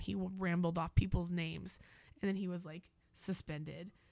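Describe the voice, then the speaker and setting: Her voice fairly low in pitch, a woman talks with an American accent. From Oklahoma. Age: 30s. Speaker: stand-up comedian. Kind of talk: casual chat.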